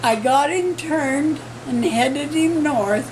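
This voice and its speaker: Noticeable background noise is present throughout. The talking goes at a very slow pace. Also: woman. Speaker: ranch woman. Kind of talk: interview answer.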